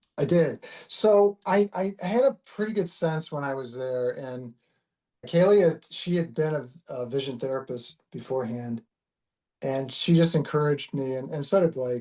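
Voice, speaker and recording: Here a man speaks with a dark, mellow tone. His pitch sits fairly high. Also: moderate pace. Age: 60s. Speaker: concussion patient, retired finance professional. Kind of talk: interview testimony. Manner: halting, many repetitions and fillers.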